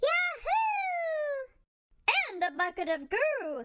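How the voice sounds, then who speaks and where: Putting on a squeaky character voice at an extremely high pitch, a woman speaks very slowly with very wide pitch swings. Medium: read story. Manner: excitable, goofy.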